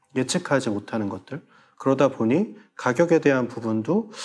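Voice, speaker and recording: A man talks with lively intonation. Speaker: head of online farm-to-consumer platform; guest. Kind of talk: panel discussion. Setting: studio. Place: studio. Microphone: lapel.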